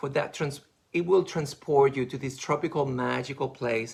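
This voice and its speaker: A man's medium-pitched voice with vocal fry, at a moderate pace. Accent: non-native. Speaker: makeup artist. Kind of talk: live beauty product presentation. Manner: animated.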